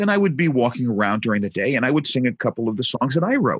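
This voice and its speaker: Very fast speech from a man with an American accent, very wide pitch swings and noticeable background noise. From New York, Brooklyn. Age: 50s. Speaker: tech entrepreneur and musician. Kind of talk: podcast interview storytelling.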